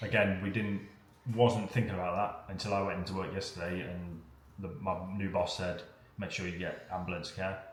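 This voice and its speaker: With an English accent, a man speaks at a moderate pace in a very deep, low pitch and a monotone, flat intonation, with noticeable background noise and audible room echo. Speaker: vlogger. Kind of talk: casual chat.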